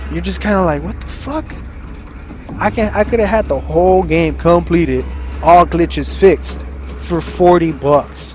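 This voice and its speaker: With noticeable background noise behind him, a man speaks at a moderate pace and leaves long, frequent pauses. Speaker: gaming streamer. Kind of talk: gameplay commentary rant. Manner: mumbling.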